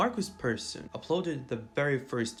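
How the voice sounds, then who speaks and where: With music in the background, a man with a non-native accent speaks at a moderate pace. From Eastern Europe. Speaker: gaming YouTuber. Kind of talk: video essay narration.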